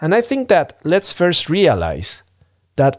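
A man speaks very slowly in a Spanish accent. His pitch swings very widely. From Mexico City, Mexico. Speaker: business strategist podcast host. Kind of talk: solo podcast monologue.

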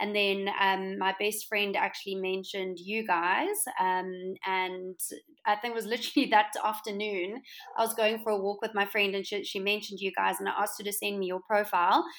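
The speaker has a South African accent. The intonation stays flat and monotone. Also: woman, medium pitch for a woman, moderate pace. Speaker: interior designer and entrepreneur. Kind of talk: casual interview chat.

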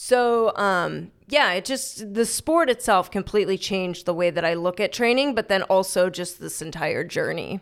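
A woman with a plain, everyday voice talks at a moderate pace and medium pitch. Her pitch variation is ordinary, and the recording is very clean with a silent background. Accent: American. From Chicago. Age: 30s. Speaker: personal trainer and gym owner. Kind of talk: casual interview.

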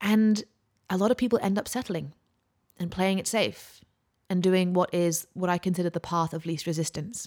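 A woman with a British accent speaks at a moderate pace, with long, frequent pauses. The recording is very clean, with a silent background. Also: medium pitch for a woman, ordinary pitch variation. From UK. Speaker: podcast host and mindset coach. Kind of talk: solo motivational talk.

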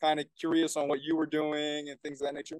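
Moving at a fairly quick pace, a normal speaking voice comes across dry and close with no echo. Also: man. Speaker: podcast host and men's coach. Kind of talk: casual interview. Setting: remote call.

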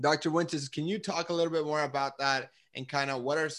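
A man is speaking here. His tone is enthusiastic. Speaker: career mentoring podcast host. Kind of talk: group coaching call moderation. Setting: video call. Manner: fast talker.

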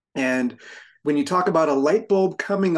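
A man speaks at a moderate pace in a plain, everyday voice. His pitch is fairly high, with ordinary pitch variation. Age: 50s. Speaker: firefighter and fitness coach. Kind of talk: casual chat.

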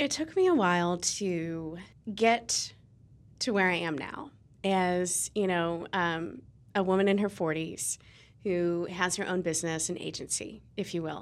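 This woman has an American accent and a fairly low pitch, with ordinary pitch variation. She speaks at a moderate pace in a very clean recording with a silent background. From Ohio, Cincinnati (US Midwest). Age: 40s. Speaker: PR firm owner. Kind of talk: casual interview.

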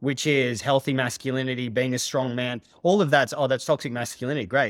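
Medium pitch in a man's speaking voice. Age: 40s. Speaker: holistic therapist and coach. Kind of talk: podcast interview. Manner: direct.

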